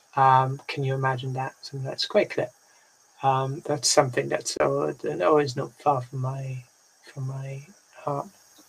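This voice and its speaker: A woman with a very deep, low pitch speaks at a fairly slow pace in a somewhat breathy voice, her intonation fairly even while her loudness swings widely. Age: 30s. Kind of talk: casual group discussion. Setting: video call. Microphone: video call.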